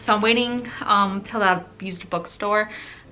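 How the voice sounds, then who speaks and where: With music in the background, a woman speaks in an American accent with fairly even intonation. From Ukrainian family, raised in the US. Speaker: book vlogger. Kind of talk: casual vlog, book haul. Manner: casual, filler-heavy.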